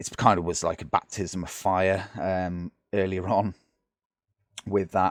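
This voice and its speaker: In a British accent, a man with a very deep, low pitch speaks at a fairly slow pace in a monotone, flat intonation, with long, frequent pauses and a dry, close sound with no echo. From Britain. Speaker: gaming YouTuber. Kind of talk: gameplay commentary. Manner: casual, hesitant with many fillers.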